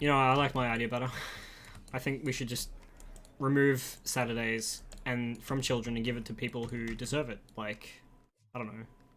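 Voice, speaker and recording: A man with an Australian accent, medium in pitch and monotone, flat in intonation, at a moderate pace with long, frequent pauses. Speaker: gaming streamer. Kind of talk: casual livestream chat while gaming. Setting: live stream.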